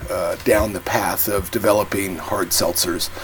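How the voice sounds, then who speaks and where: A man with an American accent, fairly low-pitched and fairly slow, over noticeable background noise. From England or US. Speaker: hard seltzer company co-founder. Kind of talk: casual interview.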